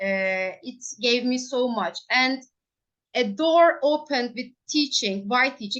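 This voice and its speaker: Very slowly and with lively intonation, a woman speaks in a Turkish accent at a high pitch. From Turkey, Ankara. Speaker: primary school English teacher. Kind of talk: interview. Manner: halting.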